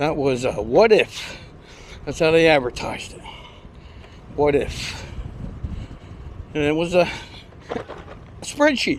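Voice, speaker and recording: A man speaks with a fairly high pitch and lively intonation, at a very slow pace. His loudness swings widely, and long pauses come often. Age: 70s. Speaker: vlogger riding exercise trike. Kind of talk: casual monologue while riding.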